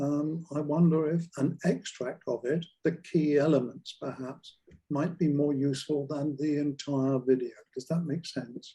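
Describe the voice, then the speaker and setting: This man has a fairly high pitch and a dark, mellow tone that is somewhat breathy. He talks at a fairly slow pace with fairly even intonation. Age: 80s+. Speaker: community group organiser. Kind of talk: question at Q&A. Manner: halting.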